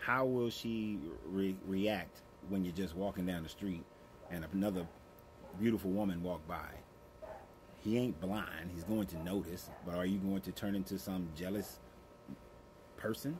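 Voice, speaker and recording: A man speaks with a very deep, low pitch and ordinary pitch variation, leaving long, frequent pauses. Noticeable background noise runs underneath. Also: moderate pace. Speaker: relationship advice creator. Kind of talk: advice monologue. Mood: calm, earnest, lecturing. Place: garden. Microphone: phone near.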